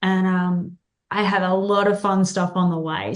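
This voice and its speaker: A woman with an Australian accent. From Australia, Tasmania. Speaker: country singer. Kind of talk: interview.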